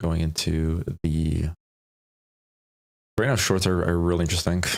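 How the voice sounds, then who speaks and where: Soft-spoken, a man talks in a very deep, low voice with fairly even intonation. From Poland. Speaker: day trader streaming live. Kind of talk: live trading commentary. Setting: home live stream.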